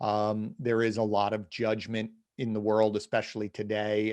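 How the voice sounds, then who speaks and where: A man with a slight New Jersey accent speaks at a medium pitch against a quiet background. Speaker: podcast host. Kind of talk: interview conversation.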